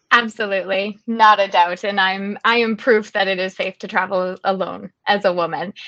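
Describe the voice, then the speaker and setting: A woman speaks in a Canadian accent at a medium pitch. It is an ordinary speaking voice. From Canada. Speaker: travel blogger. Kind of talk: interview. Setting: webinar.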